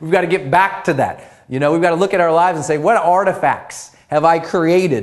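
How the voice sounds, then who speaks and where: High-pitched and energetic, a man's voice comes through. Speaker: motivational speaker and author. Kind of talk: video training lesson. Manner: fast.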